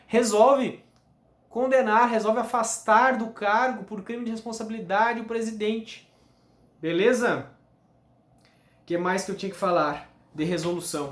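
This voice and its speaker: A man's high-pitched voice at a moderate pace with ordinary pitch variation, long, frequent pauses and audible room echo. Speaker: law teacher. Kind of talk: lecture.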